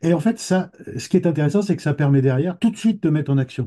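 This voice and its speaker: A man talks at a fairly quick pace with lively intonation. His dark, mellow tone is somewhat breathy. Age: 60s. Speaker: trainee therapist giving a testimonial. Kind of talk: interview testimony. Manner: halting, many repetitions and hesitations.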